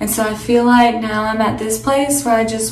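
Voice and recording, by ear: A woman talks at a fairly high pitch with fairly even intonation, and audible room echo surrounds her.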